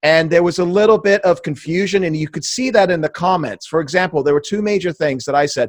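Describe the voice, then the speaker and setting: A man talks at a very fast pace with hardly any pauses, his pitch high for a man. The sound is dry and close, with no echo. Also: ordinary pitch variation. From England. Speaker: political podcast host. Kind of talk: casual interview conversation. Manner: loud.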